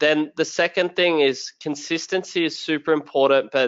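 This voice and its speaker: A man with an Australian accent at a moderate pace. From rural Australia. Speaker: sales and tech professional, LinkedIn content creator. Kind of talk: webinar interview.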